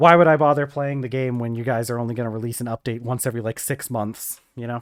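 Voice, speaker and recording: Very fast and fairly even in intonation, a man with an American accent speaks at a medium pitch, with a dry, close sound with no echo in a very clean recording with a silent background. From US South. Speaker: gaming streamer. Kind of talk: live stream casual chat. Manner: halting, many fillers and repeats.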